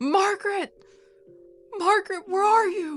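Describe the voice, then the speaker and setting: In a put-on character voice, a woman speaks at an extremely high pitch and a fairly slow pace with an anxious tone. Music plays in the background. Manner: calling out, anxious and desperate.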